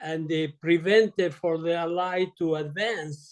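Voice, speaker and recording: Speaking at a very slow pace, a man with an Italian accent keeps a high pitch and a fairly even intonation. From Italy. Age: 80s+. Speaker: retired surgeon. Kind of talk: interview. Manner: halting.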